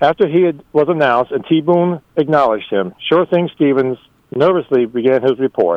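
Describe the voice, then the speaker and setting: Using a plain, everyday voice, a man speaks at a moderate pace with a fairly high pitch, lively intonation and very even loudness. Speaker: storyteller contributor. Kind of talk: reading aloud a humorous story.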